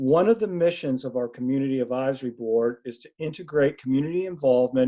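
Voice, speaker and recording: A man with an American accent speaks in a fairly high pitch with ordinary pitch variation and a dark, mellow tone. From US Northeast, Philadelphia. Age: 60s. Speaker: research participant and community advisor. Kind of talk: webinar presentation. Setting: webinar.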